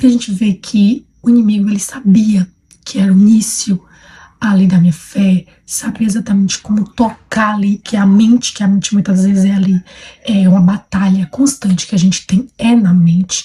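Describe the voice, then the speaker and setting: Her voice is that of a woman at a medium pitch, somewhat breathy with a dark, mellow tone, very even loudness, fairly even intonation and a moderate pace. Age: 20s. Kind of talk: personal testimony. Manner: hesitant, many fillers.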